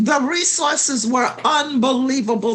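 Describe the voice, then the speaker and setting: Very wide pitch swings at a fairly slow pace, with noticeable background noise. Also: woman. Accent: American. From US South, St. Petersburg, Florida. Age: 70s. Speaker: community historian. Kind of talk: interview.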